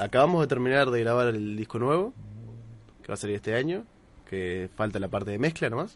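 Against a quiet background, a man speaks at a medium pitch and a fairly quick pace, with lively intonation and long, frequent pauses. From Uruguay, Minas. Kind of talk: casual chat.

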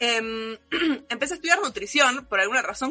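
Through noticeable background noise, a woman projects a raised voice with very wide pitch swings. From Argentina. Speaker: anime content creator. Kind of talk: casual chat.

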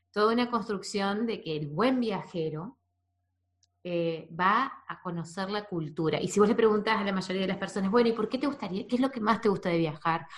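This woman has an ordinary speaking voice at a medium pitch. She speaks at a moderate pace with ordinary pitch variation. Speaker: podcast host. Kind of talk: casual interview.

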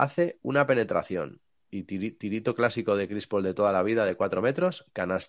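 The background stays quiet while a man's pitch rises and falls across a very wide range. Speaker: sports podcast host. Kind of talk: casual chat.

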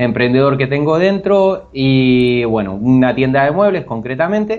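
The man's voice sits fairly high, with ordinary pitch variation. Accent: Argentine. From Argentina, Bahía Blanca. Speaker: programming student. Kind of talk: interview. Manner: halting, many repetitions.

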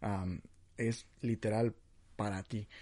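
A man's voice over a quiet background. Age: 20s. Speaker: podcast host. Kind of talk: casual religious podcast monologue. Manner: animated; halting.

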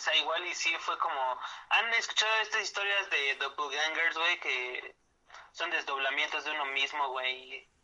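A man with a Mexico City accent talks at a fairly slow pace, with a fairly high pitch and ordinary pitch variation. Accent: central Mexican Spanish (Mexico City area). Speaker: podcast co-host. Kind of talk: casual chat. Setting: home studio, remote recording.

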